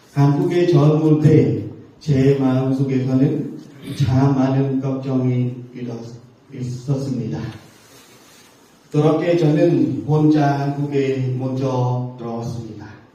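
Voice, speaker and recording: With a Cambodian accent, a man talks very slowly with fairly even intonation, long and frequent pauses, and audible room echo. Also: medium pitch for a man. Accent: Cambodian-accented Korean. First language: Khmer (speaking Korean). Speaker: missionary teacher. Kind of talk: sermon. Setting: church. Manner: halting, with filler sounds.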